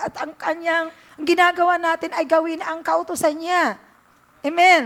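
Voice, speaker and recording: With an extremely high pitch, a woman speaks at a moderate pace in a monotone, flat intonation. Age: 60s. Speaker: pastor. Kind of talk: sermon. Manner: halting.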